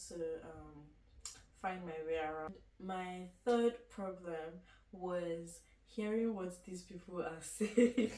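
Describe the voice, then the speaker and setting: Speaking at a very slow pace, a woman with a medium pitch keeps a fairly even intonation while her loudness swings widely over noticeable background noise. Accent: Nigerian. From Nigeria. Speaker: university student. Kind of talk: casual chat. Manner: halting.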